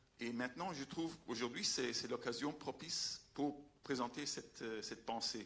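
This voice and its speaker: A man's bright, sharp voice in a Belgian accent. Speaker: veterinarian and scientific adviser. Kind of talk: public talk. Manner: halting, many hesitations.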